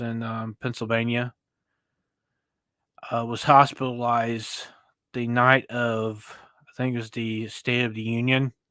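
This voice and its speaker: Very clean, silent-background recording, fairly slow pace, monotone and flat intonation. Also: man. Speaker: commentary streamer. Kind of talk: casual commentary monologue. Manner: halting, many fillers.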